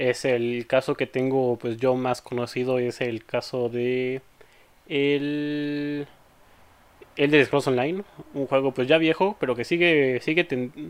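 A man with a plain, everyday voice talks at a medium pitch. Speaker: podcast host. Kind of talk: casual chat.

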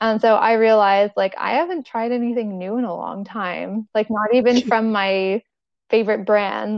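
A woman speaks in an ordinary speaking voice. Her pitch is fairly high, with ordinary variation. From Toronto, Canada. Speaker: food allergy advocate and cookbook author. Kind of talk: casual interview chat.

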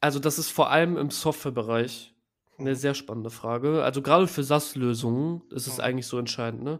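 The speech comes at a very fast pace with fairly even intonation in a very clean recording with a silent background. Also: man, fairly high pitch for a man. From Düsseldorf, Germany. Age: 20s. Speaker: growth hacking agency founder. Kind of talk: interview. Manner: casual, many fillers.

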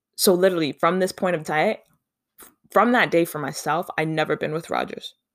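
On a very clean recording with a silent background, a woman speaks fairly quickly in an animated tone at a fairly low pitch. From Canada. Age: 30s. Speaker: podcast host. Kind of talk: casual monologue.

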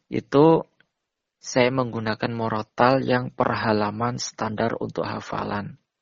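A man at medium pitch, very slow, with fairly even intonation. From East Java (Jember). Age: 20s. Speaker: blind university student and Quran memorizer. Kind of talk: interview. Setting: phone call.

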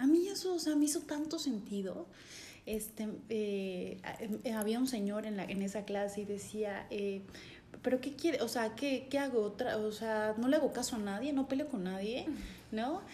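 Lively in intonation, a woman speaks at a fairly high pitch and a moderate pace. Noticeable background noise and audible room echo come through. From Chiapas, Mexico (San Cristóbal de las Casas). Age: 30s. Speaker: life coach. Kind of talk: interview conversation.

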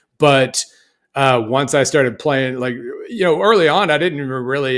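This man has an ordinary speaking voice, medium in pitch with ordinary pitch variation. He talks at a fairly quick pace on a very clean recording with a silent background. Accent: American. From Oklahoma. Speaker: college football analyst and writer. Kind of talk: casual sports podcast chat.

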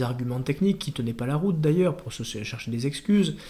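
The voice belongs to a somewhat breathy man. Its tone is dark and mellow. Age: 30s. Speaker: politician. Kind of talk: interview. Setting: party headquarters office.

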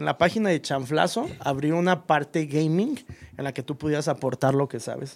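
A man with a plain, everyday voice, fairly high in pitch, at a moderate pace with ordinary pitch variation. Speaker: podcast host. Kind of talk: casual chat.

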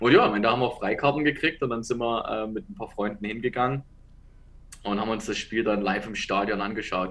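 A man's medium-pitched voice at a fairly quick pace, with ordinary pitch variation. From Saxony, Dresden. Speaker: American football head coach. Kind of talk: interview.

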